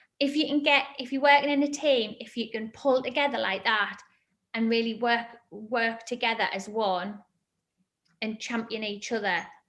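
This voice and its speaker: A woman talks with a Northeast England accent at a moderate pace. Her pitch is fairly high, with ordinary variation. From northern England, Sunderland. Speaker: fitness entrepreneur. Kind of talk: interview answers to children.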